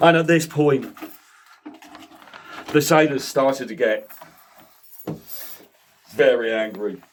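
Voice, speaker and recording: At a very slow pace with long, frequent pauses, a man speaks in a fairly high pitch with ordinary pitch variation. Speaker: storyteller. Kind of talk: comic storytelling.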